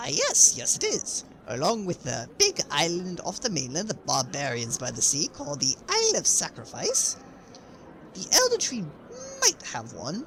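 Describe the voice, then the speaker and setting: A put-on character voice at a moderate pace, against clear background noise. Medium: audio drama. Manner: upbeat, breezy, laughs easily.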